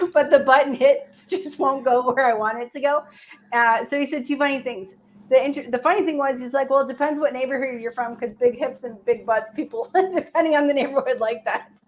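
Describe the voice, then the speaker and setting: Talking at a fairly quick pace, a woman with an American accent uses a high pitch and ordinary pitch variation. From Chicago. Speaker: weight loss livestream host. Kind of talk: casual chat. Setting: live stream.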